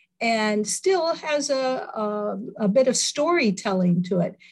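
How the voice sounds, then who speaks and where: A woman with an American accent speaks at a fairly high pitch. Her voice is somewhat breathy, with lively intonation. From US Midwest. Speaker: movie theater owner. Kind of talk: casual interview.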